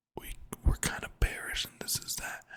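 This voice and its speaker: A man whispers at a fairly slow pace. His tone is relaxed. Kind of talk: casual talk to camera, trading commentary. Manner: relaxed, conversational.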